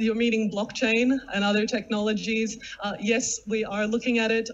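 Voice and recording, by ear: A woman is speaking at a moderate pace. Her pitch moves very little. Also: fairly high pitch for a woman.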